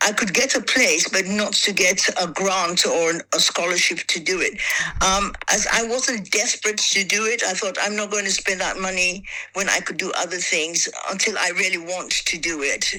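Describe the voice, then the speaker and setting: A woman at medium pitch speaks with fairly even intonation against noticeable background noise. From Sierra Leone and England. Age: 70s. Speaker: actress, director and writer. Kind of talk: interview answer.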